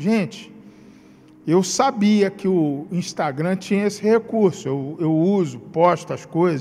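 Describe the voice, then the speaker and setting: Over music in the background, a man with a Rio de Janeiro accent speaks at a high pitch and a very slow pace, with ordinary pitch variation. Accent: carioca. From Rio de Janeiro, Brazil. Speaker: pastor. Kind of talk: sermon. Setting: livestreamed church service.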